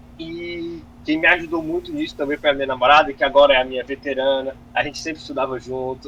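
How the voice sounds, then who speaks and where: A man with a fairly high pitch speaks very fast in a flat monotone with hardly any pauses. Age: 20s. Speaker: medical student, top exam passer. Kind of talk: interview. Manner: casual, hesitant with false starts.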